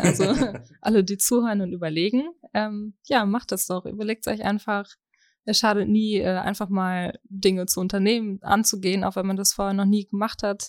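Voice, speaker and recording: A woman's normal speaking voice at medium pitch, fairly quick and fairly even in intonation, dry and close with no echo on a very clean recording with a silent background. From Germany, East Westphalia. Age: 20s. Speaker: party member. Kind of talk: interview.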